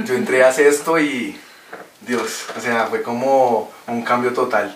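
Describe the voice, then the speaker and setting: Audible room echo mixes with noticeable noise in the background. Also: man. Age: 20s. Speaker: podcast guest. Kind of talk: casual chat. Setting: in person in studio.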